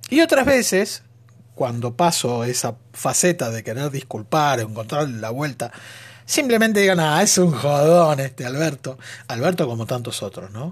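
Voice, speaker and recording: On a very clean recording with a silent background, a man with a fairly high pitch sounds somewhat breathy, using lively intonation at a moderate pace. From Argentina. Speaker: podcaster. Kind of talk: monologue. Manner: animated.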